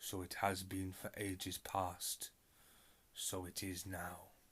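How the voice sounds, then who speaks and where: A man in a put-on character voice talks at a fairly slow pace, his pitch very deep and low. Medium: read story. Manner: slow, sorrowful, cryptic.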